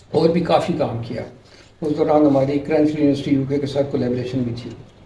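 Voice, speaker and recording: Over noticeable background noise and audible room echo, a man with a fairly high pitch talks at a moderate pace in fairly even intonation. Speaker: retired electronics professor. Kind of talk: interview.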